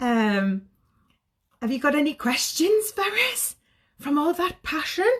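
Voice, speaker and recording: A woman speaks in a Geordie accent at a high pitch, her tone animated and her pitch swinging very widely. She goes at a fairly slow pace with long, frequent pauses. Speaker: sobriety coach. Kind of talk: live stream talk to viewers. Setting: social media live video.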